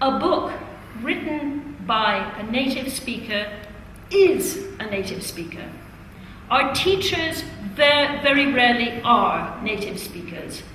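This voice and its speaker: Very slowly and with long, frequent pauses, a woman with a high pitch makes very wide pitch swings amid noticeable background noise and audible room echo. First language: Italian. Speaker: teacher trainer. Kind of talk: classroom teaching.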